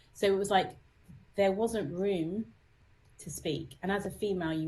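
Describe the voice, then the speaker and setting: Heard with audible room echo, a woman speaks in a British accent, somewhat breathy, with ordinary pitch variation. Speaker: psychotherapist and musician. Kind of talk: interview.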